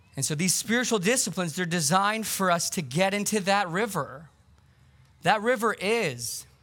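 A loud, high-pitched male voice with lively intonation at a moderate pace. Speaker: pastor. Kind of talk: sermon. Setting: outdoors; church.

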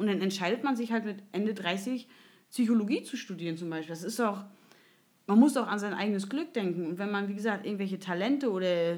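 At a fairly quick pace, a woman with a normal speaking voice talks in a medium pitch with ordinary pitch variation. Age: 30s. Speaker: podcast host. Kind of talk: casual chat.

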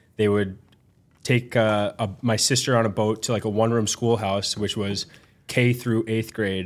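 On a very clean recording with a silent background, a man with an American accent speaks at a moderate pace in a monotone, flat intonation. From Minnesota, US. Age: 30s. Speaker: ice hockey goaltender. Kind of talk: casual interview.

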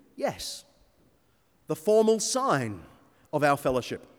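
The recording is very clean with a silent background as a man talks with lively intonation. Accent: Australian. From Sydney North Shore, Australia. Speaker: preacher and church historian. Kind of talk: sermon.

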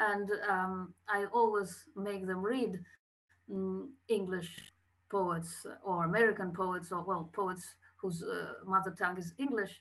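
A woman's medium-pitched voice with a Russian accent, very slow and fairly even in intonation. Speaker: poet and poetry teacher. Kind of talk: interview, casual chat. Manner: halting, hesitant.

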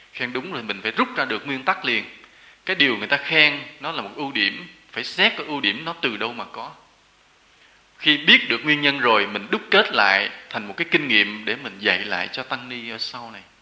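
Lively intonation with big swings in loudness. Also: man, medium pitch for a man, moderate pace. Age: 40s. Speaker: Buddhist monk giving a dharma talk. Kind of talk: sermon.

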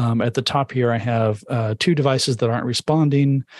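A man with a plain, everyday voice at medium pitch, moderate pace and fairly even intonation, in a dry, close sound with no echo. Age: 50s. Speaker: tech book author. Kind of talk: interview with live audience Q&A. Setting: live video stream.

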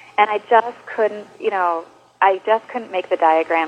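An American-accented woman's moderate-paced speech, medium in pitch with ordinary pitch variation, over noticeable background noise. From northern Wisconsin, US Upper Midwest. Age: 30s. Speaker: writer and knitter. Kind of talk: interview conversation.

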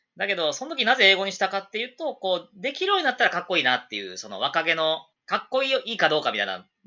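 This man talks at a very fast pace. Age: 30s. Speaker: English school owner, former teacher. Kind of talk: casual chat.

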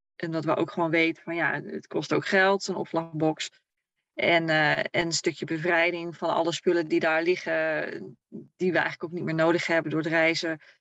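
A woman with a fairly low pitch speaks at a moderate pace. Her intonation is monotone and flat. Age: 30s. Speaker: camper traveler. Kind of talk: casual interview.

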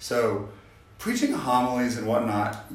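Amid noticeable background noise and audible room echo, a man talks at a moderate pace and a medium pitch. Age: 40s. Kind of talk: interview about faith.

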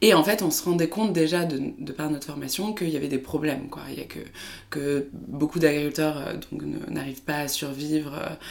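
A woman's very deep, low pitch with ordinary pitch variation and big swings in loudness, at a moderate pace. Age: 20s. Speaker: startup co-founder. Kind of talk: interview. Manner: hesitant, many filler sounds.

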